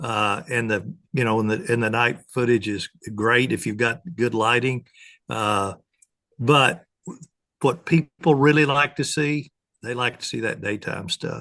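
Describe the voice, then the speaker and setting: This man speaks with a medium pitch and a bright, sharp tone. His pace is fairly slow, with ordinary pitch variation. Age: 70s. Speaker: predator hunting expert and game call maker. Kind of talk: podcast interview.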